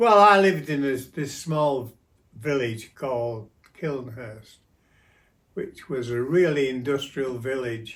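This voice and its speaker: A man with a Yorkshire accent, medium in pitch, with ordinary pitch variation at a very slow pace. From South Yorkshire, England. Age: 90s. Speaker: grandfather interviewee. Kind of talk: casual interview. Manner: halting.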